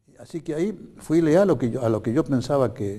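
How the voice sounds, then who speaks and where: Lively intonation marks this man's dark, mellow tone as he talks at a fairly quick pace. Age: 80s+. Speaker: lawyer and former politician, candidate for ombudsman. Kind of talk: TV interview.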